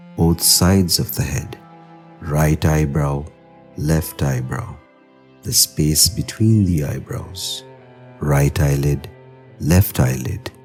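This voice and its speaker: Over music in the background, a man with a very deep, low pitch speaks at a very slow pace in a calm, soothing tone with ordinary pitch variation. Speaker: guided meditation narrator. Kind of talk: yoga nidra guided meditation. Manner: slow, calm, soothing.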